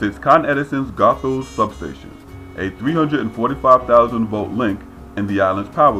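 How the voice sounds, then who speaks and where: Music plays in the background as a man speaks at a moderate pace. His medium-pitched voice makes very wide pitch swings. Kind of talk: documentary-style narration.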